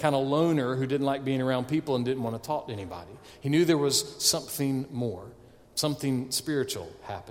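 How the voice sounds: The speaker reads in a natural voice. There is little rise and fall in the intonation.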